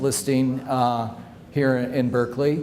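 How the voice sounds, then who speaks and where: Noticeable background noise and audible room echo surround the voice. The intonation is monotone and flat. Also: man. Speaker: home stager. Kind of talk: presentation with slideshow. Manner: loud; halting, many fillers.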